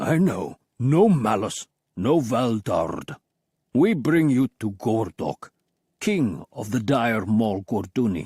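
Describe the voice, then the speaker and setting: A man puts on a guttural character voice. He speaks at a very slow pace. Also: medium pitch for a man. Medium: read story. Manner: blunt broken speech, dismissive.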